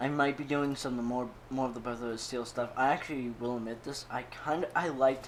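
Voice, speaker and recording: A man mumbling at a moderate pace, with fairly even intonation. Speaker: gaming YouTuber. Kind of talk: gameplay commentary.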